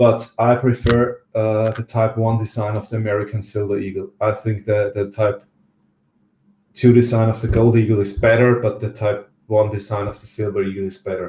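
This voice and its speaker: A fairly low-pitched, dark and mellow male voice, somewhat breathy, flat and monotone, at a moderate pace. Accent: Austrian. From Austria. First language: German. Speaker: livestream host, precious metals stacker. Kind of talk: casual livestream chat. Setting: livestream from home on camera. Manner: hesitant, many fillers.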